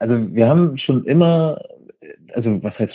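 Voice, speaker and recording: Speaking at a fairly quick pace, a man delivers his words with ordinary pitch variation. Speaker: festival accessibility manager, wheelchair user. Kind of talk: interview. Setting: phone call. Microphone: phone line, lower audio quality.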